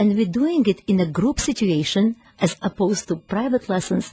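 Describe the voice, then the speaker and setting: A woman with a Ukrainian accent speaks in a fairly high, somewhat breathy voice with a dark, mellow tone. Her intonation is lively, and the sound is dry and close with no echo. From Ukraine. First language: Ukrainian or Russian. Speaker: piano teacher and music school founder. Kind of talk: radio interview. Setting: radio studio.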